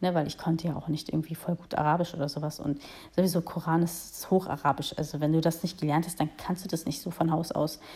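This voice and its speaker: A woman speaks at a very fast pace in a dark, mellow tone. Her voice is somewhat breathy, with monotone, flat intonation. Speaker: podcaster. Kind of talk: solo monologue. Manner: spontaneous, hesitant with fillers.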